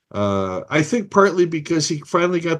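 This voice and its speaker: The background stays quiet while a man talks at a moderate pace. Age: 60s. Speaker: theologian and scholar. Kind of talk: lecture. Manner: halting, many fillers.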